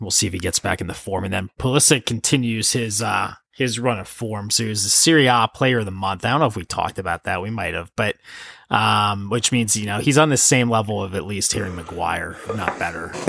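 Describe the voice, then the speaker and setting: A man speaks at a fairly low pitch with a bright, sharp tone and an American accent. The recording is very clean, with a silent background. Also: ordinary pitch variation, fairly quick pace. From United States. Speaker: podcast co-host. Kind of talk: casual chat.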